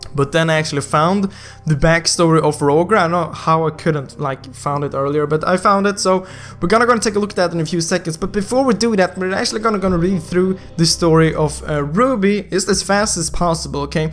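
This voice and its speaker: Over music in the background, a high-pitched man talks at a very fast pace. His tone is animated, with ordinary pitch variation. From Sweden. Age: 20s. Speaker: gaming youtuber. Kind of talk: casual video commentary.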